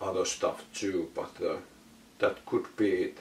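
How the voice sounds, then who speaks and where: The speaker is a man. He has a non-native accent. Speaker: vinyl collector YouTuber. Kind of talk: casual Q&A monologue. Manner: halting, many filler words.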